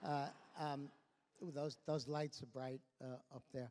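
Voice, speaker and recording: A fairly high-pitched man with a New York accent. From New York, Brooklyn. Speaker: award honoree, education exchange executive. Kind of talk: award acceptance speech. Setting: stage at awards dinner. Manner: halting, many fillers and repetitions.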